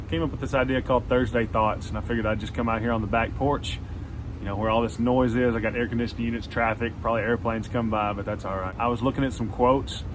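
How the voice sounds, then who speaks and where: With a strong Southern US accent, a man speaks at a very fast pace amid noticeable background noise and audible room echo. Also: medium pitch for a man. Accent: strong Southern country. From Arkansas. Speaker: songwriter and music career coach. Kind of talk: motivational talk to camera. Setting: outdoors on back porch. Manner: animated.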